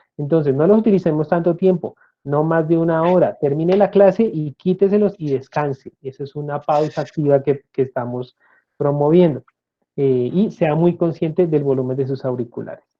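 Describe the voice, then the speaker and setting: A man speaks with a fairly high pitch and ordinary pitch variation at a moderate pace. It is a normal speaking voice. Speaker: speech therapist and lecturer. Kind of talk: interview.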